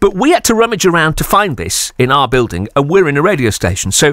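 A man's fairly quick speech with a British accent, vocal fry and very wide pitch swings, dry with no echo over a quiet background. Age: 30s. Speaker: radio presenter. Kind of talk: radio interview. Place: studio.

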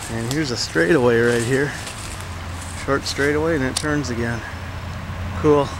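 A man speaks at a moderate pace with ordinary pitch variation, his voice dry with no echo over noticeable background noise. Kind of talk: casual vlog chat. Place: open country. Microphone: phone near.

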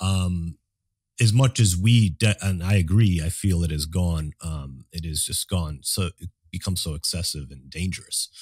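At a moderate pace, a man with a very deep, low pitch and a somewhat breathy voice speaks with ordinary pitch variation and big swings in loudness, on a very clean, dry, close recording with no echo and a silent background. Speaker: podcast co-host. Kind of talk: casual theological conversation.

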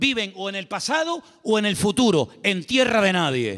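A man uses a raised, projected voice with a bright, sharp tone. The background is quiet. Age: 50s. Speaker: pastor. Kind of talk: sermon. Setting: church. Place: church. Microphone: handheld.

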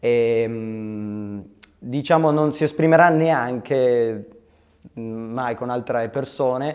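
Speaking very slowly with long, frequent pauses, a man uses ordinary pitch variation against a quiet background. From Turin, northern Italy; northern Italy. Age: 20s. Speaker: film director. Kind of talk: interview; interview answer. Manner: hesitant, many fillers. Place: studio. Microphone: lapel.

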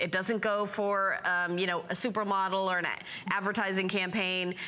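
A woman speaks in an animated tone at a moderate pace. Her loudness stays very even. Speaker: shopping channel host. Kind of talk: sales pitch. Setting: studio. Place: studio. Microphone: lapel.

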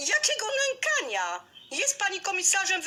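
A woman uses a put-on character voice that is squeaky and extremely high. Her pitch swings very widely at a moderate pace. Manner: shouting.

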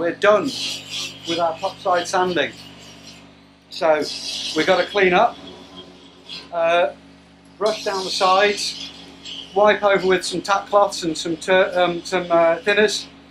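A man speaks very slowly in a high pitch, with long, frequent pauses. Noticeable background noise runs under his voice. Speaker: boat restorer vlogger. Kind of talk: casual vlog chat. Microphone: phone near.

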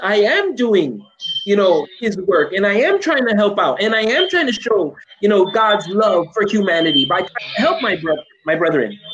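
With an American accent, a man speaks fairly slowly at a high pitch, his tone animated and his intonation lively, over light background noise. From Chicago, US. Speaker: English professor; guest. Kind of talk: casual chat. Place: home room. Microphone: video call.

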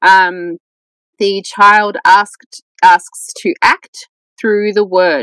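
Against a quiet background, a woman speaks with an Australian accent at a medium pitch. Her pitch variation is ordinary, and the sound is dry with no echo. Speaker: scholar of Gnosticism; podcast guest. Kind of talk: podcast interview. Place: home room. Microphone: earbuds.

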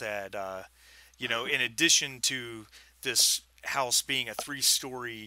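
Text read in an unforced reading voice

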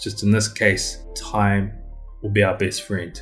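A man talks with a fairly low pitch and a somewhat breathy sound. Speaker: music reaction youtuber. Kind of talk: casual reaction commentary. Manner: fast. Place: home room. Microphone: webcam.

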